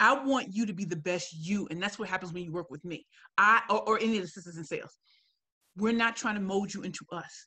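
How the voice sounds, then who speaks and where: Speaking at a very fast pace, a woman with a bright, sharp, medium-pitched voice sounds animated, with ordinary pitch variation and big swings in loudness. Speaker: professional speaker. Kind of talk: webinar Q&A.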